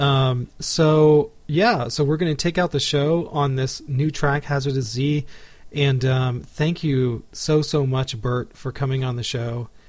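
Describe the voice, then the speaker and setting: Speaking with an American accent, a man uses a fairly high pitch, a fairly slow pace, fairly even intonation and a somewhat breathy sound. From Texas, Houston. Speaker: podcast host and classical guitarist. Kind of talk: casual interview; scripted show narration.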